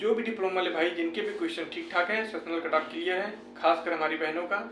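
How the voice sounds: A man at a high pitch and fast pace, fairly bright in tone, with ordinary pitch variation and audible room echo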